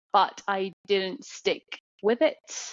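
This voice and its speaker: A woman is speaking. She has a British accent. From England, London. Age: 30s. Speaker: artist. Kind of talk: podcast interview.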